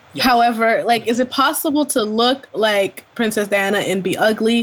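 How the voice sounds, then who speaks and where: A woman with a fairly high pitch and ordinary pitch variation keeps a moderate pace while noticeable background noise sits behind her. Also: very even loudness. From Ontario, Canada. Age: 20s. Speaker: podcast co-host. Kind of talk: casual chat.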